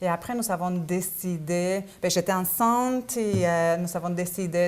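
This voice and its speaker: A woman talks at a fairly slow pace, her pitch fairly low with ordinary variation. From Argentina, Buenos Aires. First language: Spanish (speaking French). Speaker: business owner. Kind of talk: interview. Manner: hesitant, many fillers.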